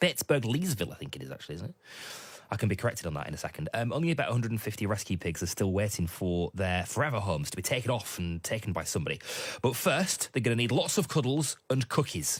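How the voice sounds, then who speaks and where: Speaking very fast with a British accent, a man has a fairly low, somewhat breathy voice with very wide pitch swings. The recording is very clean, with a silent background. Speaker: overnight radio host. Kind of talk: radio interview.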